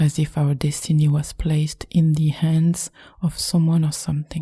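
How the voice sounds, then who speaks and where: A soft-spoken woman with a French accent talks in a calm tone at a fairly slow pace, her very deep, low voice dark and mellow. Her voice is somewhat breathy. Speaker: meditation guide. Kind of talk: spiritual podcast reading. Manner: calm, soft-spoken.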